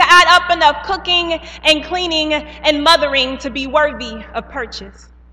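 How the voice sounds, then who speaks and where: A woman's raised, projected voice at a moderate pace, with ordinary pitch variation. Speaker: spoken word poet. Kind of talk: spoken word poetry performance. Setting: live event on stage.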